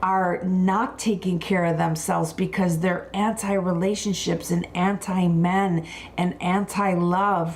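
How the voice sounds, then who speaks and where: A woman with an American accent, medium pitch and fairly even intonation, at a very slow pace amid noticeable background noise. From Buffalo, New York. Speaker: wellness and skincare expert. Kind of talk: live wellness talk.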